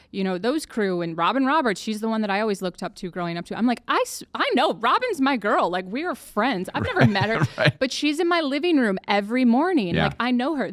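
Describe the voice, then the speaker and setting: Very wide pitch swings mark this fairly quick delivery, heard over noticeable background noise. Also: woman. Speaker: podcast host. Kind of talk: podcast interview.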